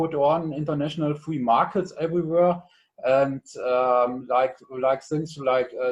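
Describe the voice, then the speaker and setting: A man's fairly high voice with a German accent, very slow pace and fairly even intonation against a quiet background. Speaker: conference participant. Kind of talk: panel discussion. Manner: halting, many fillers.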